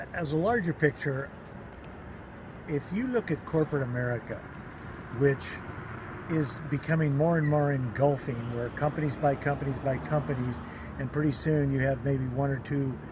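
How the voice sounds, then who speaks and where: A man talks at a moderate pace, leaving long, frequent pauses. Noticeable background noise runs underneath. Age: 70s. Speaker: protester. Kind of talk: interview answer. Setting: outdoors.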